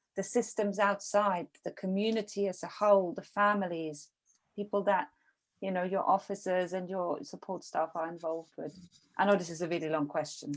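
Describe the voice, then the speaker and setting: A woman speaks at a moderate pace with a medium pitch and ordinary pitch variation. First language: not English. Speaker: podcast interviewer. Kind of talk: interview. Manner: halting.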